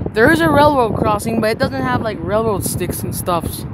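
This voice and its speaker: The speech moves at a fairly quick pace over loud background noise. The sound itself is dry, with no echo. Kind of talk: casual vlog chat. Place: open country. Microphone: phone near.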